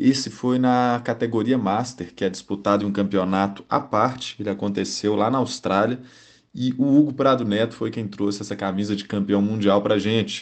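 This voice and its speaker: A man's fairly low voice with ordinary pitch variation and a moderate pace. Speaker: cycling magazine host. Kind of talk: podcast introduction.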